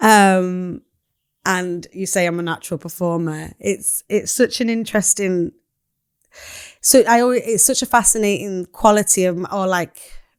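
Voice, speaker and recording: A woman with a Mancunian accent talks at a moderate pace and medium pitch with ordinary pitch variation, the sound dry and close with no echo on a very clean recording with a silent background. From Manchester, northern England. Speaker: poet. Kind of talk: casual chat.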